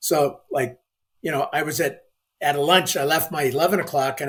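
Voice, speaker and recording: A man talks at a fairly quick pace in an ordinary speaking voice. His pitch is fairly high, with fairly even intonation. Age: 60s. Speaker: banking executive. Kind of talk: interview testimony.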